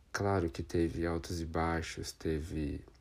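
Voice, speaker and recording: Very slowly, a man speaks with a very deep, low pitch and a dark, mellow tone. The recording is very clean, its background silent. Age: 20s. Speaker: podcaster and drag queen. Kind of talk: personal testimony monologue.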